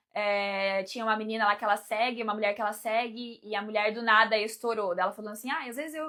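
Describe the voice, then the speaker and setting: Animated and very fast, the speaker runs on with hardly any pauses in a Brazilian accent. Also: woman, fairly high pitch for a woman. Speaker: life coach and mentor. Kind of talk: live stream talk to viewers.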